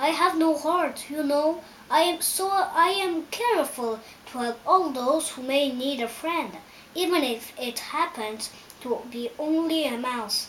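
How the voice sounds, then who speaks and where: A woman uses a put-on character voice, high-pitched with lively intonation, at a fairly slow pace. Background noise is clear. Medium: read story.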